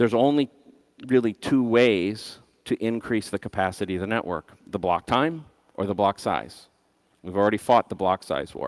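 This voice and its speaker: Here is a man with an unremarkable speaking voice, fairly low in pitch and with ordinary variation. The sound is dry and close, without any echo. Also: moderate pace. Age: 50s. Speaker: conference speaker, bitcoin system designer. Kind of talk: conference talk.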